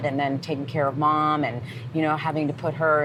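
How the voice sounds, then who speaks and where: A woman speaks with a very deep, low pitch. Noticeable background noise runs underneath. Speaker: podcast host, ring announcer, singer. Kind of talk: interview question.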